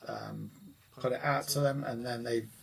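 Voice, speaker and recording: A man with an English accent, over noticeable background noise. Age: 60s. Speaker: guitar teacher. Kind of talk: live stream chat. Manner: hesitant, many fillers.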